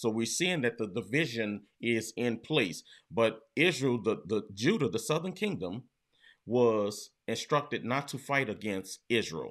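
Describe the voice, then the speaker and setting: A man at a fairly slow pace, lively intonation, quiet background. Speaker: bible teacher. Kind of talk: bible study teaching. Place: home room.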